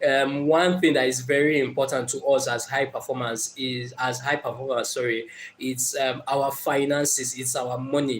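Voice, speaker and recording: A man with a Nigerian accent talks at a moderate pace in a medium pitch, his intonation flat and monotone, with hardly any pauses and noticeable background noise. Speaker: motivational speaker. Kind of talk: live stream talk. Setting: live stream. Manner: hesitant, many fillers.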